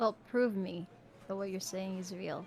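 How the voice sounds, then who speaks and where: Over clear background noise, a woman uses a put-on character voice at a medium pitch and a moderate pace. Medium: actual play. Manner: curt, dry.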